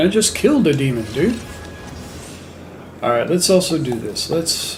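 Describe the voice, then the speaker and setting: With music in the background and audible room echo, a man with a high pitch speaks at a moderate pace. He makes long, frequent pauses and very wide pitch swings. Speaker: gaming livestreamer. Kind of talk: casual livestream chat. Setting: home livestream with headset. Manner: hesitant, many fillers.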